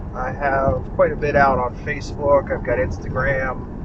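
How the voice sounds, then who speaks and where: Recorded with noticeable background noise and audible room echo, a man with an American accent speaks at a fairly slow pace. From Pittsburgh, Pennsylvania. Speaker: local area video host. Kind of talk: unscripted drive-around narration. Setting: in a car. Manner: casual with frequent filler uhs.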